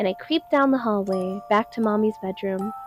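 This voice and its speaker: Music plays in the background. Over it, a woman speaks at a fairly quick pace with a fairly high pitch. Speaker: amateur narrator. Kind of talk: horror story narration.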